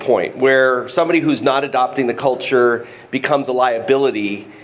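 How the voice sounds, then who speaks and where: Over noticeable background noise, a man with a medium pitch talks at a moderate pace with lively intonation. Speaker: youth football coach asking a question. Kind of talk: audience question at panel. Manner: halting.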